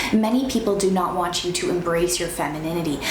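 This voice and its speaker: Amid noticeable background noise and audible room echo, a woman speaks at a fairly quick pace with a medium pitch. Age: 20s. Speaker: lifestyle vlogger. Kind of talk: motivational advice talk.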